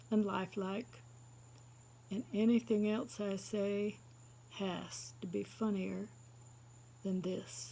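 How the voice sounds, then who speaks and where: Very slowly, a woman speaks at a medium pitch with lively intonation. Her tone is dark and mellow, and somewhat breathy. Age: 60s. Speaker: stand-up comedian. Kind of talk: stand-up. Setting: seated, live audience.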